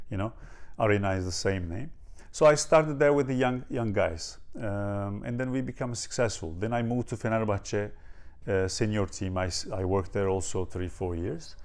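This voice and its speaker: A man with a Turkish accent, a fairly low pitch, ordinary pitch variation and a moderate pace. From Turkey, near Ankara. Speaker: strength and conditioning coach. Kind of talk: interview. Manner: halting, many fillers.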